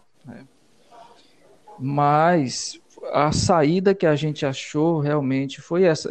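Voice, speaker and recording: The voice belongs to a man and is fairly high in pitch. Its rise and fall are ordinary. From Piauí, Brazil (Valença). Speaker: musician and songwriter. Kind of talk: radio interview. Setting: radio studio.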